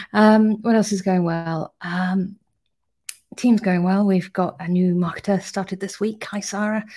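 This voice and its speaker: A woman with a British accent speaks at a fairly slow pace, medium in pitch, with a dark, mellow tone and a somewhat breathy quality. Her intonation is monotone and flat, on a very clean recording with a silent background. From UK. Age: 30s. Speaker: startup CEO. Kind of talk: casual video update.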